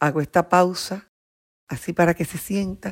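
With an animated tone, a woman speaks in a dry, close sound with no echo. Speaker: psychopedagogue and neurocoach. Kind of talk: interview. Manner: slow for emphasis.

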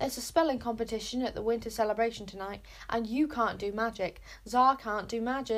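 The intonation stays fairly even in this natural reading voice.

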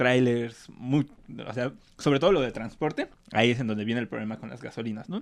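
At a moderate pace, a man at medium pitch talks in an unremarkable speaking voice with ordinary pitch variation. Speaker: podcast co-host. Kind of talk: casual chat.

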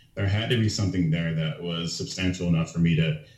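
Audible room echo surrounds a man with a very deep, low pitch. His voice is somewhat breathy and his pace fairly quick. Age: 20s. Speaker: powerlifter. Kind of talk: casual chat.

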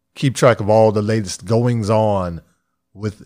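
The voice belongs to a man with a fairly low pitch. He speaks at a fairly slow pace. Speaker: podcast host.

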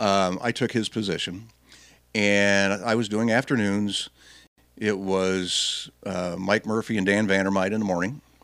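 The recording is very clean, with a silent background, and a man speaks at a fairly slow pace in a fairly low pitch with fairly even intonation. It is a normal speaking voice. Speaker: radio host. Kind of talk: casual chat.

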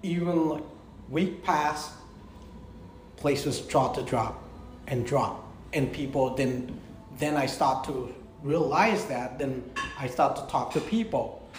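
With long, frequent pauses, a man with a fairly high pitch speaks very slowly and with ordinary pitch variation over noticeable background noise. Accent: Cambodian. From Cambodia. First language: Khmer. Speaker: restaurant owner and chef. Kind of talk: casual chat. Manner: animated, laughs a lot; halting.

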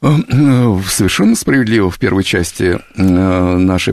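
This man's pitch is very deep and low. It varies in an ordinary way. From Moscow region, Russia (Kupavna). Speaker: americanist expert. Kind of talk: radio interview. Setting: studio.

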